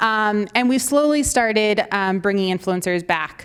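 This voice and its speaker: A woman's fairly high voice at a fairly slow pace, with ordinary pitch variation, on a very clean recording with a silent background. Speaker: marketing agency executive and conference speaker. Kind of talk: conference presentation. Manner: animated.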